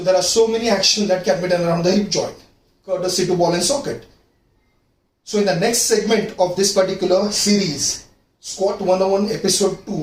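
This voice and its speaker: A man speaks in a high voice at a fairly quick pace, his intonation fairly even. Some room echo can be heard. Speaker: fitness coach. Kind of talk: tutorial.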